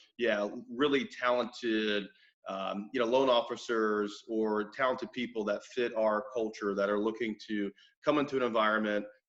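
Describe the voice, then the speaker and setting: A man at medium pitch, moderate pace and fairly even intonation. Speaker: mortgage company owner. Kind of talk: interview. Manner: loud.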